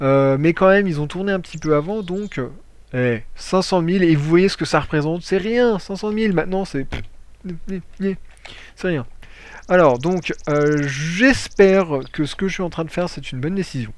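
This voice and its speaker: The speech moves at a moderate pace broken by long, frequent pauses. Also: man, high pitch for a man, lively intonation. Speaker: gaming youtuber. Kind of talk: gameplay tutorial commentary. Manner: hesitant, many fillers.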